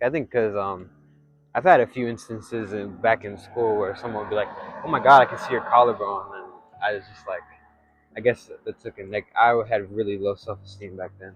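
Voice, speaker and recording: Fairly quick speech with fairly even intonation over music in the background. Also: man. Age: 20s. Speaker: vlogger. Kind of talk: casual monologue. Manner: soft-spoken; hesitant, many fillers.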